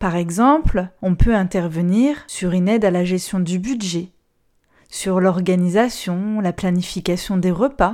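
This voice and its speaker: Very slow and at a medium pitch, a woman speaks in a dark, mellow tone. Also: very clean recording, silent background. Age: 30s. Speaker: social worker and podcast host. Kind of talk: monologue podcast.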